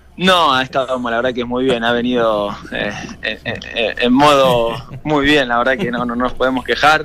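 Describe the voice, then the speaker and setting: A man speaks in a normal speaking voice at medium pitch with fairly even intonation. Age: 30s. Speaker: professional footballer. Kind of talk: radio interview.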